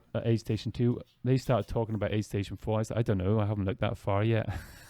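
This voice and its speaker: A man with an Irish accent speaks at a very fast pace. His medium pitch keeps a fairly even intonation. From Ireland. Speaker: podcast host and ultrarunner. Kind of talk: casual interview.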